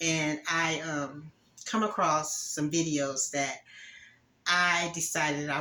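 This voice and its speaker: A woman with a very deep, low pitch and ordinary pitch variation at a very slow pace, with music in the background. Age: 60s. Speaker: YouTuber giving relationship advice. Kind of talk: casual monologue to camera. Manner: hesitant, many fillers.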